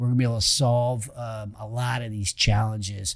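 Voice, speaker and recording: On a very clean recording with a silent background, a man of medium pitch speaks in an American accent, sounding somewhat breathy. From California, Roseville. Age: 50s. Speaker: entrepreneur and podcast host appearing as guest. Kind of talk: casual interview chat. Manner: hesitant, many fillers.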